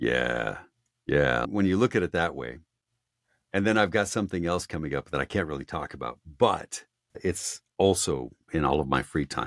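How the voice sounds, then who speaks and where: Heard on a very clean recording with a silent background and a dry, close sound with no echo, a man with a very deep, low pitch and vocal fry talks at a moderate pace with lively intonation. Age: 50s. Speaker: audiobook narrator. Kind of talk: casual chat.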